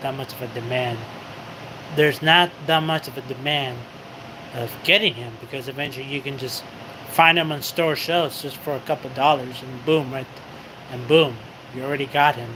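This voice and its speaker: A man talks at a medium pitch and moderate pace, with long, frequent pauses. Noticeable background noise runs behind him. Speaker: livestreamer. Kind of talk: casual chat. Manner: halting.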